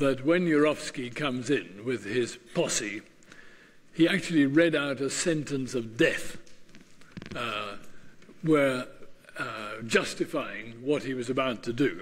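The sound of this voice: Slow speech with long, frequent pauses, ordinary pitch variation and audible room echo. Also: man, medium pitch for a man.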